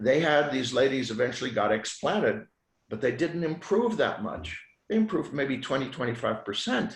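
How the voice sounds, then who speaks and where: A man talks at a moderate pace in a fairly high, somewhat breathy voice. His pitch swings very widely. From Switzerland. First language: French. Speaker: physician. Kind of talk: podcast interview.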